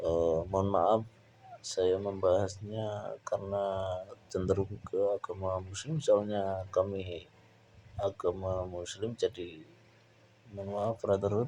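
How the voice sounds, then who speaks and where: In a Javanese accent, a man with a dark, mellow tone speaks very slowly with fairly even intonation. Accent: Javanese (medok) accent in Indonesian. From Java, Indonesia. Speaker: painting tutorial youtuber. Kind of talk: painting tutorial with casual chat. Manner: casual, hesitant with fillers.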